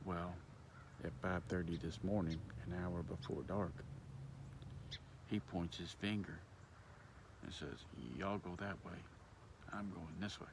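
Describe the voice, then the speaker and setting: A man whispers at a moderate pace with vocal fry. Audible room echo carries his voice. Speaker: hunter vlogger. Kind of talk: casual vlog monologue. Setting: outdoors in a field. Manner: whispering.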